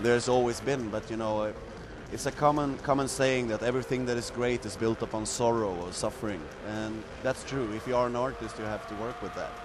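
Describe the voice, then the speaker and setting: A man with a Swedish accent talks at a fairly quick pace. Noticeable background noise is audible. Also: medium pitch for a man, fairly even intonation. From Sweden. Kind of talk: interview. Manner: casual, frequent fillers.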